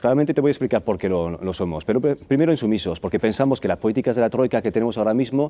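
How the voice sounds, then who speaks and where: A man with a slight non-native accent talks at a very fast pace. His medium-pitched voice has a dark, mellow tone and lively intonation. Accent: near-native Spanish, hardly noticeable. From France. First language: French (speaking Spanish). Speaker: political candidate. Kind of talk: TV interview.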